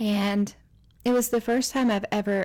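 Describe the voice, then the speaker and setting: In a very clean recording with a silent background, a woman with an American accent speaks at a moderate pace in a dark, mellow tone with fairly even intonation. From US South, East Tennessee. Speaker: storyteller sharing personal faith story. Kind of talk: personal testimony.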